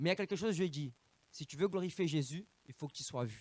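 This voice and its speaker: The speaker has an animated tone and ordinary pitch variation. The sound is dry and close, with no echo. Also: man. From Brazil. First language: Portuguese (speaking French). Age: 30s. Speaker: evangelist preacher. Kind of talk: sermon. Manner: halting.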